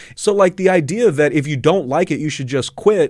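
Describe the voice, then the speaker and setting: A normal speaking voice talks at a moderate pace with ordinary pitch variation. The recording is very clean, with a silent background. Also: man. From Southern California. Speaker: journalist and labor podcast host. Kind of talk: casual interview. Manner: many fillers (uh, um, you know).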